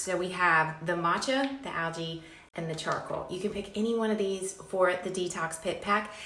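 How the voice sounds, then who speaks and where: A woman at a medium pitch speaks amid noticeable background noise and audible room echo. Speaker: skincare brand owner. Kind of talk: product pitch. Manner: fast; animated.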